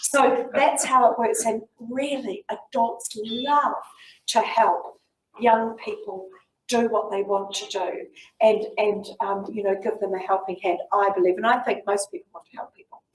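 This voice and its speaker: In a New Zealand accent, a woman speaks fairly slowly at a fairly high pitch with ordinary pitch variation. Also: big swings in loudness. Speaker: community leader and fundraiser. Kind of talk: talk and Q&A to school students.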